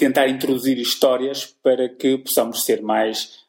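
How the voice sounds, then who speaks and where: A man speaks at a moderate pace in a European Portuguese accent. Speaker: sales podcast host. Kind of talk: interview. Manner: halting.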